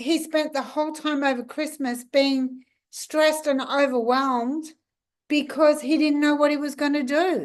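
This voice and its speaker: With an Australian accent, a woman speaks at a high pitch in monotone, flat intonation, leaving long, frequent pauses. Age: 60s. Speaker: law of attraction coach. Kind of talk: casual talk to camera.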